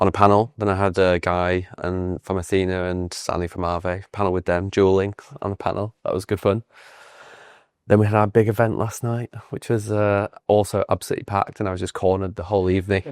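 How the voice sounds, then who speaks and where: Speaking at a fairly quick pace in a fairly low, monotone, flat voice, a man is heard on a very clean recording with a silent background. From northern England, Leeds. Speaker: crypto company founder. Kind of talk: casual interview chat.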